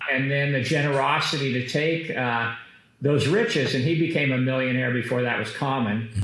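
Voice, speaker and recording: Amid audible room echo and noticeable background noise, a man with an American accent speaks at a moderate pace in a medium pitch, with fairly even intonation and very even loudness. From Kansas, US. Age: 60s. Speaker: business executive. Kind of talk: interview. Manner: hesitant fillers.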